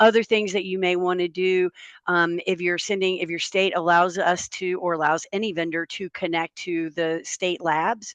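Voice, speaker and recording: Against a quiet background, a woman with a North Carolina accent speaks at a fairly low pitch in a monotone, flat intonation. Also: moderate pace, dry, close sound with no echo. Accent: Southern US (North Carolina). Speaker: health software company representative, webinar panelist. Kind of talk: webinar panel discussion. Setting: Zoom webinar. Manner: conversational with frequent fillers.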